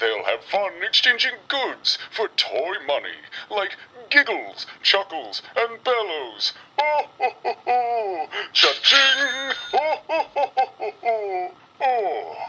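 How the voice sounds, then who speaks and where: Using a put-on character voice, the speaker talks at a fairly high pitch and a very slow pace. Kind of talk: vintage holiday catalog commercial. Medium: read story. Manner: jolly, chuckling, warm.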